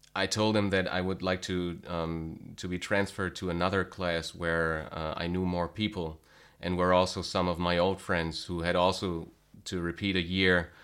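A man with a German accent, a very deep, low pitch and monotone, flat intonation, in a very clean recording with a silent background. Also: moderate pace. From Germany, small town. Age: 30s. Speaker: guitar teacher. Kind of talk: interview. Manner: halting.

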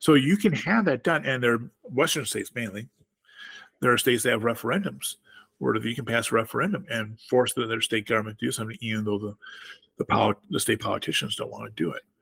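The man's voice sits at a medium pitch, with vocal fry and lively intonation. He speaks at a very fast pace, in a dry, close sound with no echo. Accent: American. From rural southwest Wisconsin, US. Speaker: author and political activist, Air Force veteran. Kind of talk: interview about politics.

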